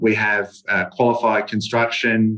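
A man with an Australian accent, a fairly low pitch and monotone, flat intonation. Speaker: property developer. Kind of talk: radio interview.

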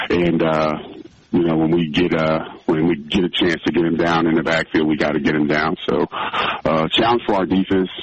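A man's very deep, low voice with fairly even intonation at a moderate pace, over noticeable background noise. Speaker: head football coach. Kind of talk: pregame interview. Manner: halting, many uh fillers, laughs.

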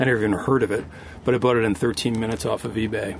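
Over noticeable background noise, a man talks at a very fast pace and a medium pitch. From Connecticut, US. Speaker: sailor and crew member. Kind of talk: casual interview.

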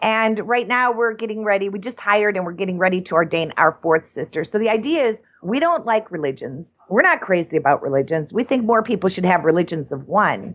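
The speech moves at a fairly quick pace with very wide pitch swings, set against noticeable background noise. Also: woman, medium pitch for a woman. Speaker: cannabis nun and activist founder. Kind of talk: interview.

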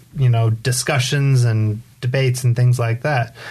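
Here is a man with an American accent and a medium pitch. His voice is somewhat breathy. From Southern California, San Diego area. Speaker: community activist. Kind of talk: casual interview. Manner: halting, many fillers.

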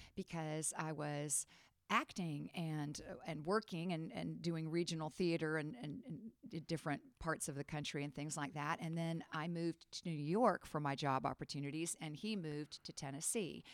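The woman's very deep, low pitch shows ordinary variation. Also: moderate pace. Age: 50s. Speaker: theater and history teacher. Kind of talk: testimony.

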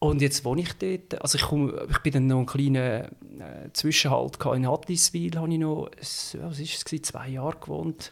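This man has a normal speaking voice, fairly high in pitch with ordinary variation, talking at a moderate pace with hardly any pauses on a very clean recording with a silent background. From Switzerland, canton of Schwyz (upper Lake Zurich). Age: 30s. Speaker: podcast guest, city resident. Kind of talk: casual chat. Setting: home, at a living-room table.

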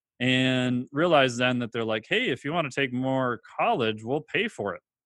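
A plain, everyday voice from a man, mid-range in pitch and moving along fairly quickly. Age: 40s. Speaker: exercise physiologist and online trainer. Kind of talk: interview.

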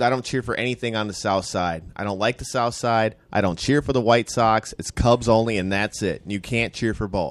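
Using a plain, everyday voice, a man speaks at a moderate pace and medium pitch with fairly even intonation and hardly any pauses. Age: 40s. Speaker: podcast host. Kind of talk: casual chat. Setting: studio.

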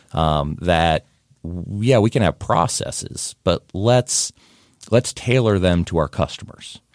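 A man with an American accent speaks at a very slow pace, his very deep, low pitch showing ordinary pitch variation and very even loudness. The recording is very clean with a silent background and a dry, close sound with no echo. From Ohio, US Midwest (Whitehall, Columbus area). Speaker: city development official. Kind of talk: podcast interview.

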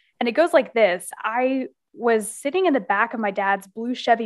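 Against a quiet background, a woman with an American accent uses an ordinary speaking voice, fairly high in pitch and moderate in pace. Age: 20s. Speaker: business consultant and author. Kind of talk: podcast interview.

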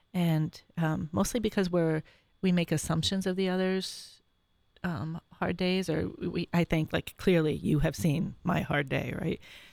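A woman with an American accent and an unremarkable speaking voice talks at a fairly slow pace in a fairly low pitch with ordinary variation, the sound dry and close with no echo and the recording very clean against a silent background. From Syracuse, New York. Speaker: mother of a large family. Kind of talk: interview, personal testimony. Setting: studio.

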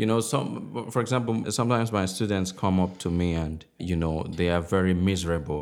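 His voice is very deep and low, with fairly even intonation. The man keeps a moderate pace. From southwestern Nigeria, Igbo family. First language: Igbo and Yoruba alongside English. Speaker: novelist. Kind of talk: interview. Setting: writers' workshop. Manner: hesitant, many fillers.

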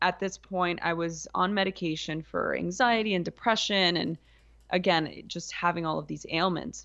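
Pitched fairly low, a woman with an ordinary speaking voice talks at a moderate pace with fairly even intonation. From US, East Los Angeles. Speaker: yoga and meditation teacher. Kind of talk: casual interview. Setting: studio.

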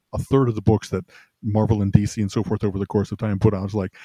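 A man speaks with fairly even intonation in a dark, mellow, somewhat breathy tone. The sound is dry and close with no echo. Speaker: podcast co-host. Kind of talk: casual podcast chat. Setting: remote call. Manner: quiet.

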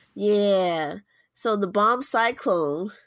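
An animated, playful tone and lively intonation come through on a very clean recording with a silent background. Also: woman. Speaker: podcast co-host. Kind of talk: casual chat.

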